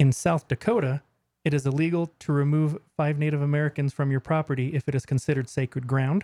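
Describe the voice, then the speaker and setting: A man's dark, mellow, somewhat breathy voice, fairly high in pitch and fairly quick, in a dry, close sound with no echo on a very clean recording against a silent background. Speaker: podcast co-host. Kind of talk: casual chat.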